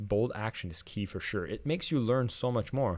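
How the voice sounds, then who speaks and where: The man's pitch variation is ordinary, and his pace is fairly quick. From Quebec, Canada (French Canadian). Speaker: online marketing trainer. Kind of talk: live stream tutorial. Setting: live stream on camera. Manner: casual, conversational. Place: home room. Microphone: studio mic.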